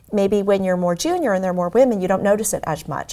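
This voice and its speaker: Talking very fast, a woman speaks with an American accent. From US Midwest (Omaha, Nebraska). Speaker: tech executive. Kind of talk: interview.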